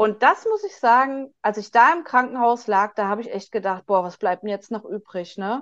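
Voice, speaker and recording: A woman with a fairly high pitch speaks with hardly any pauses. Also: ordinary pitch variation, moderate pace, big swings in loudness. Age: 40s. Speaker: patient advocate, social worker. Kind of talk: interview. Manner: halting, many fillers.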